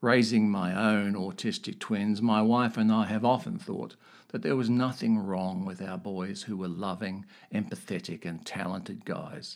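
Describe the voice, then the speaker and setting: A fairly low male voice, a normal speaking voice, with fairly even intonation in a very clean recording against a silent background. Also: moderate pace. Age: 60s. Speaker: podcast host sharing personal story. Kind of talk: personal monologue.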